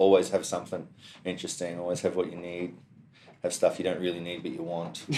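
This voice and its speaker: Very fast speech from a man with an Australian accent. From South Australia, Adelaide. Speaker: mandolin player. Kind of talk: interview. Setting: music store room.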